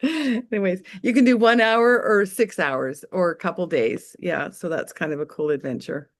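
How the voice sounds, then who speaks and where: Against a quiet background, a woman at a medium pitch speaks with vocal fry and very wide pitch swings. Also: moderate pace, hardly any pauses. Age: 60s. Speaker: webinar presenter, farm community member. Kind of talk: casual webinar chat, storytelling.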